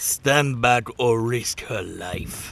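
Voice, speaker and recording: A man speaks in a put-on character voice. His pitch sits at a medium level. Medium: audio drama. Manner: cold, threatening.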